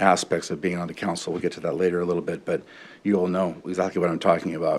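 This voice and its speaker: A man talks very fast. His pitch is very deep and low. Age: 50s. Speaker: city council candidate. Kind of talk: interview. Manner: halting, many fillers.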